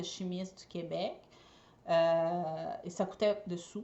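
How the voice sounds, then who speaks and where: A woman talks with a Brazilian accent and ordinary pitch variation. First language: Portuguese (speaking French). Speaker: eco party decorator and entrepreneur. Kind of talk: personal storytelling vlog. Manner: hesitant, many fillers.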